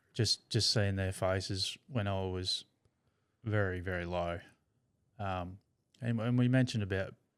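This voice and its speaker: Someone with an Australian accent speaks at a moderate pace with fairly even intonation and long, frequent pauses, on a very clean recording with a silent background. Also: man. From Tasmania, Australia. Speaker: brain cancer survivor. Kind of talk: casual chat. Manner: halting, repeats words.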